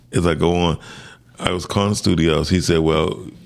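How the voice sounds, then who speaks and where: At a moderate pace and with ordinary pitch variation, a man speaks over noticeable background noise. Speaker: sound engineer and music producer. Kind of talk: interview. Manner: animated storytelling.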